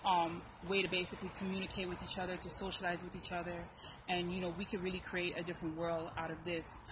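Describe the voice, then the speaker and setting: Audible room echo surrounds a very fast, monotone delivery with flat intonation. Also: woman, fairly low pitch for a woman. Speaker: YouTube commentator. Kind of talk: casual chat.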